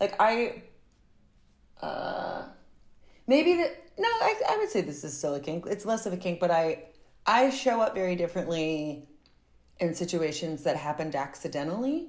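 A woman talks at a moderate pace with a medium pitch. Her pitch swings very widely, broken by long, frequent pauses. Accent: American. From US South. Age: 30s. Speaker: actor and filmmaker. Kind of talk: casual chat. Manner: animated.

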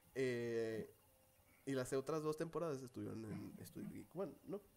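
Lively intonation marks this man's unremarkable speaking voice, pitched fairly high. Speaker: podcast co-host. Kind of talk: casual chat.

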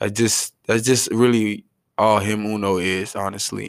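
In a very clean recording with a silent background, a man talks in an animated tone. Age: 20s. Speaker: podcast host. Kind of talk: casual monologue.

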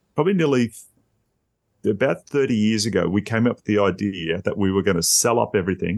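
Words are delivered fairly quickly. They come in an Australian accent. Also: man. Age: 50s. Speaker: podcaster. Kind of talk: casual chat.

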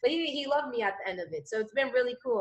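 A woman talks in an energetic tone at a high pitch. Her pitch swings very widely. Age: 20s. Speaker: entrepreneur and business coach. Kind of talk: casual interview.

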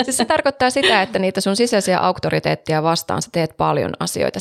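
Dry and close with no echo, a woman's voice moves at a fairly quick pace with vocal fry. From Savo, Finland. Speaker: podcast co-host. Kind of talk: casual chat. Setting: studio.

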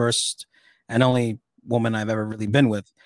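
The recording is very clean, with a silent background and a dry, close sound with no echo. A man talks at a moderate pace in a medium pitch. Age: 30s. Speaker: streamer and podcast guest. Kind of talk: casual chat. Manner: halting.

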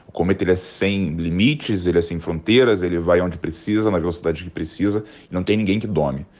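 His voice is very deep and low in pitch as the man speaks at a fairly quick pace with ordinary pitch variation. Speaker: designer and illustrator. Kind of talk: prepared explanation.

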